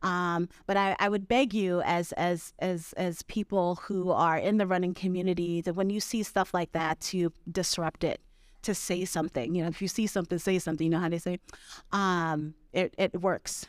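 A woman with an unremarkable speaking voice and fairly low pitch talks at a moderate pace with fairly even intonation and very even loudness, in a dry, close sound with no echo and a very clean recording with a silent background. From Brooklyn, New York. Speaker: ultrarunner and outdoor advocate. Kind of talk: live podcast conversation. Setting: live stage with audience.

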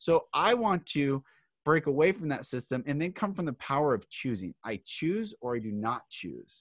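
An unremarkable speaking voice from a man, fairly high-pitched with lively intonation. The recording is very clean with a silent background and a dry, close sound with no echo. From Seattle, US Pacific Northwest. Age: 30s. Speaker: author and public speaker. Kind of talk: casual interview.

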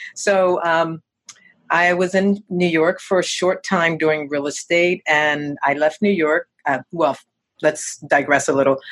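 Using a normal speaking voice, a woman with an American accent talks at a fairly slow pace, her pitch fairly low, her intonation fairly even and her loudness very even. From US Northeast. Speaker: real estate agent. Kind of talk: interview.

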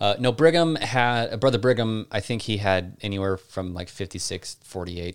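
A man's fairly low voice with an American accent, an ordinary speaking voice, fairly slow pace with hardly any pauses, ordinary pitch variation, very clean recording, silent background. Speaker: podcast host. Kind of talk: casual Q&A chat.

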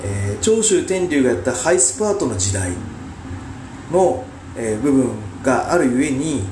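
A man at medium pitch speaks with very wide pitch swings and long, frequent pauses. Audible room echo and noticeable background noise surround him. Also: moderate pace. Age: 40s. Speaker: podcast host and amateur wrestler. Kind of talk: solo commentary podcast. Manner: halting, many filler sounds.

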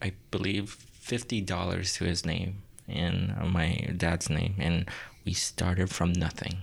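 A man with a very deep, low pitch and a somewhat breathy voice speaks fairly slowly with fairly even intonation, the recording very clean and the background silent. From Myanmar. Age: 20s. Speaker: tattoo artist. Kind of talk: casual interview chat.

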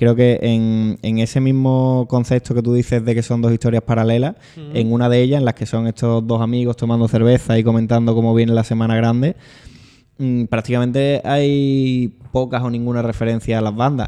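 The tone is dark and mellow, with monotone, flat intonation. The pace is moderate. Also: man, medium pitch for a man. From Spain, Seville (Triana). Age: 20s. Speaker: band musician and author. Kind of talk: casual chat. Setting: law office.

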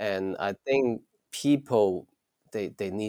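A man with a Chinese accent speaks at a very slow pace in a dry, close sound with no echo. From China, Shantou (Chaoshan region). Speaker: science fiction writer. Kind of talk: interview. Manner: hesitant, many fillers and repetitions.

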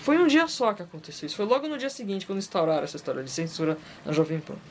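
Noticeable background noise is present. The delivery is fairly quick. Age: 40s. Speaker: podcast host. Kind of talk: casual monologue.

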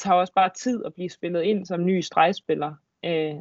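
Fairly even intonation from a woman, at a moderate speed. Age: 20s. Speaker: handball player. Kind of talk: casual chat. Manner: hesitant, many fillers.

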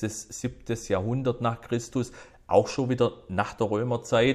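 The voice belongs to a man. It is medium in pitch. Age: 50s. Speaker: whisky enthusiast. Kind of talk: casual interview.

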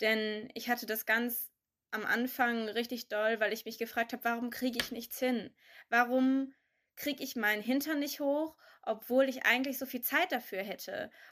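A woman talks at a moderate pace in a high pitch. Her intonation stays fairly even. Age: 20s. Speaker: young adult sharing pandemic experiences. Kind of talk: casual chat.

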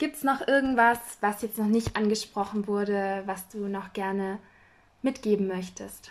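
A woman talks in an ordinary speaking voice at a fairly slow pace. Her pitch varies in an ordinary way. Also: medium pitch for a woman. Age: 20s. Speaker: podcast host. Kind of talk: casual interview.

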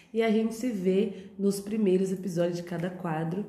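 Noticeable background noise and audible room echo around a woman's fairly low-pitched, moderately paced speech. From Brazil, São Paulo. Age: 30s. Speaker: podcast host. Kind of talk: casual monologue. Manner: chatty, talkative.

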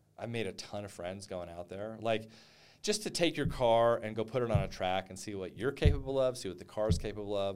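A man with an American accent has an unremarkable speaking voice, fairly low in pitch with ordinary variation. He talks at a fairly quick pace. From eastern New Mexico, near West Texas. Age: 50s. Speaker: real estate investor. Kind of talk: casual interview.

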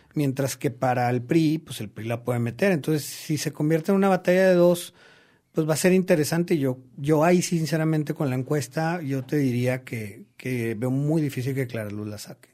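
On a very clean recording with a silent background, an ordinary speaking voice keeps a moderate pace and varies its pitch an ordinary amount. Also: man, fairly high pitch for a man. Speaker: political consultant. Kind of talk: interview. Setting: studio.

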